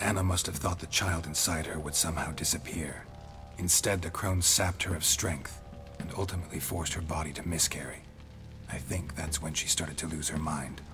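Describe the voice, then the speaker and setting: Against loud background noise, a man in a put-on character voice speaks at a fairly quick pace with a very deep, low pitch. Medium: game stream. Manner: dry, terse, unsentimental.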